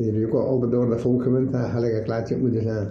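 A somewhat breathy man's voice in a dark, mellow tone, with an East Flemish accent. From Adegem, East Flanders, Belgium. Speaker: shoemaker. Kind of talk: dialect interview answer.

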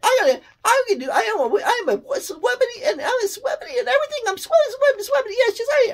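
A put-on character voice, squeaky and extremely high in pitch, rises and falls with lively intonation. Long pauses come often. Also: fairly quick pace. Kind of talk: comedic character voice. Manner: fast, rushed, jittery.

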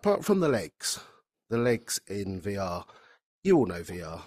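A man with a fairly low pitch, big pitch swings and a slightly mellow tone speaks at a fairly slow pace in a dry, close sound with no echo, on a very clean recording with a silent background.

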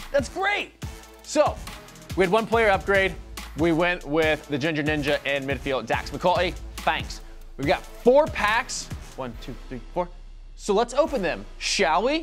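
Over faint music in the background, a man talks at a fairly slow pace with long, frequent pauses. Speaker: show host. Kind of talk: casual comedic presenter chat. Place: studio. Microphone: lapel.

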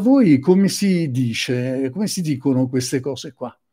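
A man speaks at a fairly slow pace with lively intonation and a dark, mellow tone against a quiet background. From Sicily. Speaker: psychotherapist; presenter. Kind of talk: lecture. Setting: live stream. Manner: halting. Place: home room. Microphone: webcam.

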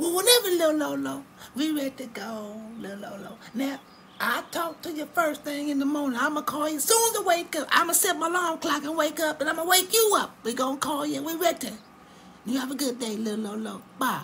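A cartoonish character voice rattles along at a fairly quick pace over clear background noise. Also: female-sounding voice, high pitch for a woman. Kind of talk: comic cartoon voice acting. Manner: gushing, affectionate, repetitive.

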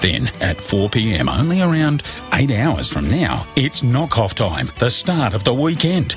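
A man with an Australian accent talks at a fairly slow pace, with hardly any pauses and very wide pitch swings. Clear music plays in the background, and the sound is dry with no echo. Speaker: voice actor. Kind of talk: radio commercial read. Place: studio.

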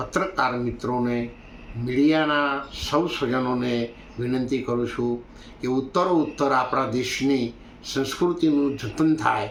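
Audible room echo surrounds this man's voice. His intonation is fairly even. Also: medium pitch for a man. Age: 70s. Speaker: religious leader. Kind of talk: interview statement. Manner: halting.

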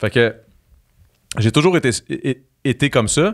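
Against a quiet background, a man speaks at a medium pitch. His tone is animated and his intonation lively. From Quebec. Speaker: reality TV personality and musician; podcast guest. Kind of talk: casual chat. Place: studio. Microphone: studio mic.

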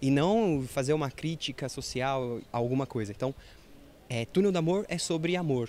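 A man at a moderate pace, with light background noise and a dry sound with no echo. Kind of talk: interview answer. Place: stage. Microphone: handheld.

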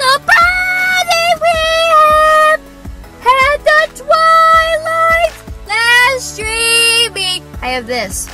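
With clear music in the background, a woman's voice comes through dry with no echo. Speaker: vlogger. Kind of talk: casual vlog chat. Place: car. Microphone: camera far.

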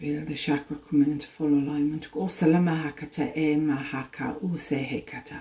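Fairly quick speech with fairly even intonation. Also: woman, very deep, low pitch for a woman. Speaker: spiritual video host. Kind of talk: guided meditation; live-streamed spiritual talk. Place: home room. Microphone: phone near.

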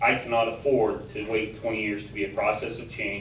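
With an audible room echo and noticeable background noise, a man speaks at a moderate pace and a medium pitch. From New Mexico. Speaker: school board candidate. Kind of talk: public statement at meeting. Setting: school board meeting with audience. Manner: loud.

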